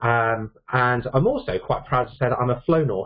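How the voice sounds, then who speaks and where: This man talks at a fairly quick pace with fairly even intonation. His voice is somewhat breathy. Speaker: IT consultant and trainer. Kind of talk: technical presentation.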